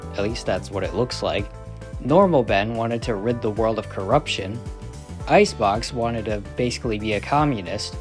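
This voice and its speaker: Over music in the background, a man with a fairly low pitch talks at a moderate pace with lively intonation. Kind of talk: competition results voiceover. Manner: casual, profane.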